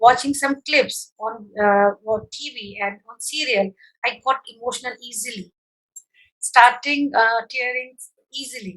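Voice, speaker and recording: A woman with an Uttar Pradesh accent speaks at a fairly slow pace in a high pitch, her loudness swinging widely while her pitch varies in an ordinary way. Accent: Hindi with UP. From India, Uttar Pradesh (Agra). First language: Hindi. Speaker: psychologist. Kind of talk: interview. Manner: halting.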